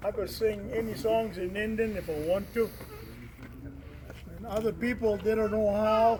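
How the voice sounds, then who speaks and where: The speaker has an American accent and a flat, monotone delivery at a moderate pace. Long, frequent pauses break it up, and background noise is noticeable. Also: man, high pitch for a man. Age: 70s. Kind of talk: casual talk to community gathering. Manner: halting.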